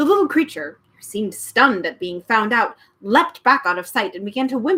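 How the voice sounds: It is a natural reading voice. The voice reads naturally throughout.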